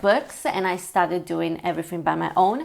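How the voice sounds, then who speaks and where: In an Italian accent, a woman speaks at medium pitch with ordinary pitch variation. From Italy. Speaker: language learning vlogger. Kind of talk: casual vlog talk. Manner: hesitant, many fillers.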